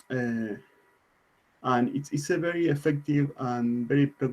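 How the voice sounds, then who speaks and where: The speaker has a non-native accent and a dark, mellow tone. The pace is moderate and the intonation fairly even. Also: man. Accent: non-native English pronunciation. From Argentina. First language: Spanish. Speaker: IT consultant and conference speaker. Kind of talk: conference talk. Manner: halting, many fillers and repetitions.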